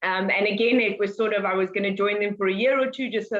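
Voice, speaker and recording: A woman with a South African accent talks at a very fast pace in a medium pitch. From South Africa, Cape Town. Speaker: wildlife conservationist, head ranger. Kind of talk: interview.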